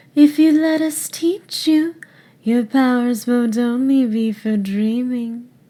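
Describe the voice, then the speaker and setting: A female-sounding put-on character voice, pitched high, speaks at a fairly slow pace. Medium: voice reel.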